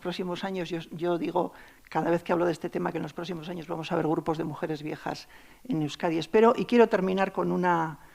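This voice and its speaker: The woman talks at a very fast pace. Her pitch is fairly low, with ordinary pitch variation. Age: 60s. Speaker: anthropologist. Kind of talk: panel discussion.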